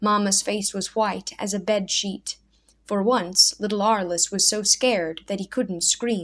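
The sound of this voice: An unforced reading voice moves with fairly even intonation.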